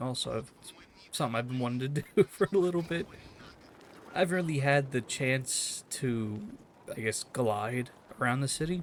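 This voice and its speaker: A soft-spoken voice at a fairly quick pace, with ordinary pitch variation and long, frequent pauses. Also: man. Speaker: gaming YouTuber. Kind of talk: gameplay commentary. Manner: halting.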